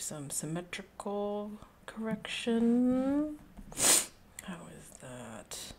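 Somewhat breathy, a woman with an American accent speaks in a dark, mellow tone marked by very wide pitch swings. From Texas. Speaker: art streamer and art teacher. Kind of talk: casual livestream chat while drawing. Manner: rambling, laughs often. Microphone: quiet, varying distance to mic.

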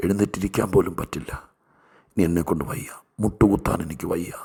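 His voice is somewhat breathy. The speaker is a man. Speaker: pastor. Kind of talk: sermon.

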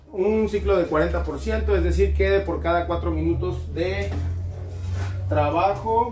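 At a fairly slow pace, the voice carries a slightly mellow tone over faint background noise. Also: man.

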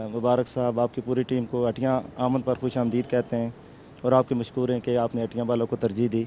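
A man's dark, mellow tone with monotone, flat intonation, dry sound with no echo and light background noise. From Hattian Bala, Azad Kashmir; Azad Kashmir. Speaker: social sector worker; guest. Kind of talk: panel discussion. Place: open country. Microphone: handheld.

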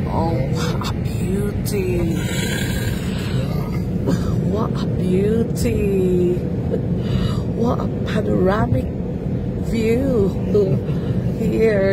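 Delivered at a very slow pace with long, frequent pauses, the voice sounds dry with no echo while music plays in the background. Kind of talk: casual travel commentary. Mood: delighted, admiring. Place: car.

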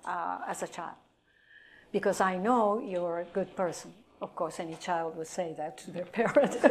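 A woman with a Japanese accent speaks at a moderate pace with ordinary pitch variation and big swings in loudness. Light background noise can be heard. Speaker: atomic bomb survivor and hospital employee. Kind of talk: lecture. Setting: stage with audience. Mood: earnest, reflective. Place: classroom.

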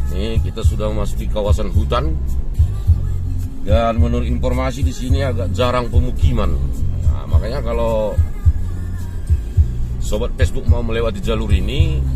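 Over clear background music, the speech moves at a fairly quick pace with ordinary pitch variation and a dry sound with no echo. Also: man. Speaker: road trip vlogger. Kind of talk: travel commentary. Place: car. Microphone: phone near.

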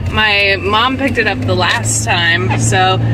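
Noticeable background noise runs behind a woman as she talks. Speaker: parent vlogger. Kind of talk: casual vlog chat. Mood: slightly anxious, chatty. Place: car. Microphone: phone near.

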